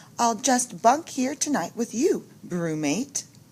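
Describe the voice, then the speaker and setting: A woman cackles in a put-on character voice. Her pitch is fairly high and her pace fairly slow. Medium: read story. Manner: cackling, sassy.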